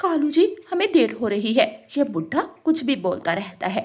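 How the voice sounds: Using a cartoonish character voice, a woman talks at a fairly slow pace and fairly high pitch, with big pitch swings, a slightly mellow tone and a slightly husky edge.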